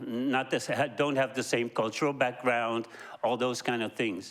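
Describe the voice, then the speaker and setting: A man with a non-native accent speaks at a medium pitch, his intonation fairly even. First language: not English. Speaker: audience member asking a question. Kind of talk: audience question. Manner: halting, many fillers.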